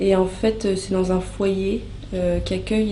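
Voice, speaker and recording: Flat, monotone intonation at a moderate pace, with audible room echo and noticeable background noise. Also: woman. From France, Normandy (Rouen). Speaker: former volunteer abroad. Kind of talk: interview testimony. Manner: hesitant, many filler sounds.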